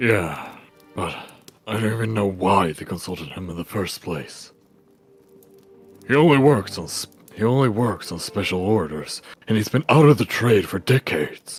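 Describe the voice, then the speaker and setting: A man's quiet, put-on character voice, fairly low in pitch, at a moderate pace with lively intonation, big swings in loudness, long, frequent pauses and faint music in the background. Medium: read story. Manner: terse, quiet.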